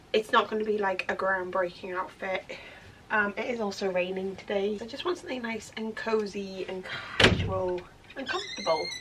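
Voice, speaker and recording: A woman with a British accent talks in a relaxed tone at a medium pitch, with noticeable background noise behind her. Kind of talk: casual vlog talk to camera. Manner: relaxed, chatty.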